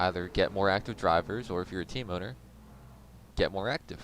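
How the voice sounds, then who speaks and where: The pace is very fast. Intonation stays lively throughout. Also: man. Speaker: sim racing league streamer and commentator. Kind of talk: live commentary. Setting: live stream. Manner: casual and conversational. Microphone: mic quality said to be good and crisp.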